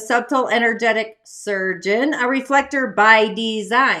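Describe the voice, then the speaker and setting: In a raised, projected voice, a woman speaks at a moderate pace with a bright, sharp, animated tone. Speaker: spiritual life coach and show host. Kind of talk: casual spiritual show monologue.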